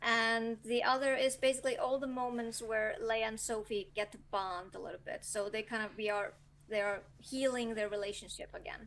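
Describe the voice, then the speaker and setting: With an Icelandic accent, a woman talks at a moderate pace with hardly any pauses, her fairly high pitch held in fairly even intonation. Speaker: novelist. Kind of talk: interview. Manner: hesitant, many fillers.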